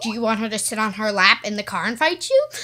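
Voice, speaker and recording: A woman uses a put-on character voice at a fairly high pitch. She talks at a very fast pace. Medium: solo performance. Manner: confrontational.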